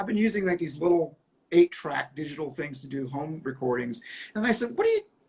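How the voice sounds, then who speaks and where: This man's voice sits at a fairly high pitch. He speaks at a fairly quick pace with lively intonation. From New England, rural area outside Boston. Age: 50s. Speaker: rock musician. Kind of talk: casual interview chat. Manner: animated, self-interrupting.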